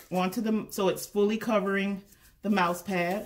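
This woman keeps a moderate pace, her intonation monotone and flat. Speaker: crafter demonstrating. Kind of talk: tutorial. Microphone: camera far.

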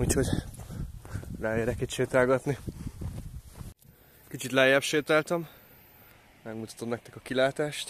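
The tone is fairly bright, the pitch varies in an ordinary way, and long pauses come often. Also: man, medium pitch for a man.

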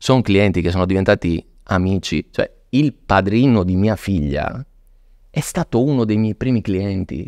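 Fairly low in pitch, a man talks at a fairly slow pace with lively intonation. The background is quiet and the sound is dry, with no echo. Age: 40s. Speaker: luxury watch dealer; podcast guest. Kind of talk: casual interview. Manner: animated. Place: studio. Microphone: studio mic.

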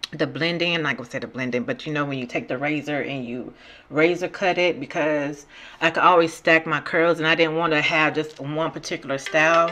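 A woman's very deep, low pitch with ordinary pitch variation at a fairly quick pace, music in the background. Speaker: beauty vlogger. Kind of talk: product review voice-over.

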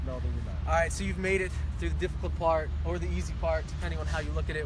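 A man speaks very fast in a dry sound with no echo, with loud background noise around him. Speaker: company interviewer. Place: open country.

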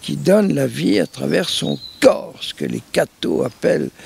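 The man's delivery comes at a very slow pace. No echo colors the dry sound. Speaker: priest. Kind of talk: interview answer, storytelling. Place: garden.

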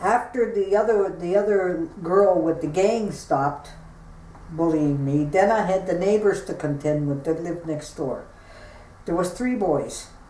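A woman's voice at a fairly slow pace with ordinary pitch variation and audible room echo. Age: 60s. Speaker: bullying survivor. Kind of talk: interview answer. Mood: earnest, recounting painful memories. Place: home room. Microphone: camera far.

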